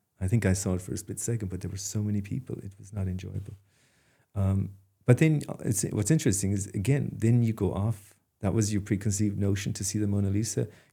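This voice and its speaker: A man's fairly low voice at a very fast pace, somewhat breathy, with a dark, mellow tone. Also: fairly even intonation. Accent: Kerry. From Ireland, Dingle (County Kerry). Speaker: artist. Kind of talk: interview. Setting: studio. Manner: hesitant, many fillers and restarts.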